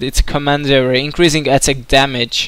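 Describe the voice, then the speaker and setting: A man with a Hungarian accent speaks at a moderate pace, using a fairly high pitch and fairly even intonation. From Hungary. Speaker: video game commentator. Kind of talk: live commentary. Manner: hesitant, many filler words.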